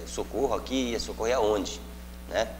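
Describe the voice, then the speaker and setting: There is noticeable background noise and audible room echo. A man speaks at a moderate pace. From Mato Grosso, Brazil (Pontes e Lacerda area). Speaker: state deputy / politician. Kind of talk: interview. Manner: halting, with many fillers.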